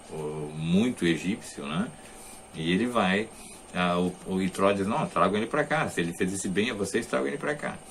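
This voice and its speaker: Audible room echo colors the recording. The man speaking uses lively intonation. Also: fairly low pitch for a man, moderate pace. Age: 60s. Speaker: religious teacher. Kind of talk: lecture. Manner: halting.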